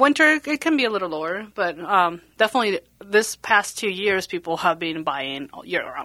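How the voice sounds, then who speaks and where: A woman with a Spanish accent, medium in pitch with a bright, sharp tone, at a moderate pace with hardly any pauses and very wide pitch swings. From Bolivia. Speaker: realtor. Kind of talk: casual chat.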